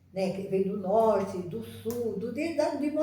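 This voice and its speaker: A woman talks at a fairly slow pace with noticeable background noise. Room echo is audible around her. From Northeast Brazil, Ceará. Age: 80s+. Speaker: retired schoolteacher. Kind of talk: personal reminiscence to camera. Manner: halting, with many repetitions and restarts.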